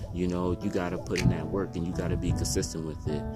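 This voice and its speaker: A man speaks at a fairly quick pace with a very deep, low pitch. Music plays in the background. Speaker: spoken word poet and motivational speaker. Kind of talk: casual motivational talk to camera.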